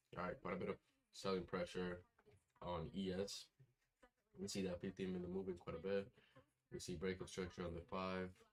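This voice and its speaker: A soft-spoken man talks with a very deep, low pitch and a flat monotone. He leaves long, frequent pauses. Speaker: futures day trader streamer. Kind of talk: live trading commentary. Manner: casual, filler-heavy. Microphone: far from the mic.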